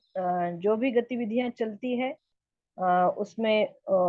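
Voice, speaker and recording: Fairly high-pitched woman with a Marathi accent and fairly even intonation. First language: Marathi (speaking Hindi). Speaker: study group member and translator. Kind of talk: personal testimony in online group. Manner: halting, many hesitations.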